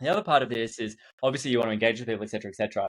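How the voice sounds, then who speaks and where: A man with an Australian accent talks very fast. His pitch is medium, with ordinary variation. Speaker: event marketing consultant. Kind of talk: podcast interview. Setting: studio.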